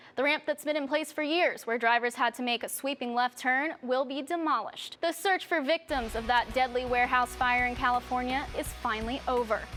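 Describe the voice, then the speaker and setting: Woman at a fairly quick pace and high pitch, with ordinary pitch variation and hardly any pauses, over music in the background. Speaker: TV news reporter. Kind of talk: news anchor read.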